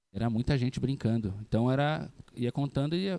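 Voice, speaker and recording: The man's voice has a dark, mellow tone. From Brazil, São Paulo state (Mogi das Cruzes). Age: 30s. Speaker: psychologist and youth ministry leader. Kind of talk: interview. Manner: relaxed, conversational.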